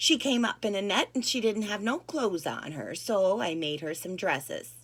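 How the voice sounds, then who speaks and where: A put-on character voice comes out shaky and gentle in tone. It moves at a moderate pace. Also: woman, medium pitch for a woman. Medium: read story. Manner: gentle, hesitant.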